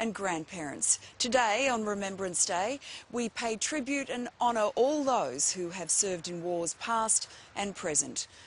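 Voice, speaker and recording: A woman with an Australian accent at a fairly slow pace, her pitch swinging very widely. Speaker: TV presenter. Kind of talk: morning TV presenter.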